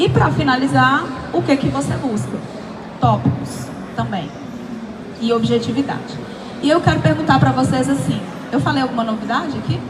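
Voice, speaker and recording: A woman speaks in a very deep, low pitch with very wide pitch swings and long, frequent pauses. Noticeable background noise and audible room echo fill the recording. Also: moderate pace. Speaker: pitch coach and speaker. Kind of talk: workshop talk. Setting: event stage with audience, handheld mic. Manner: animated.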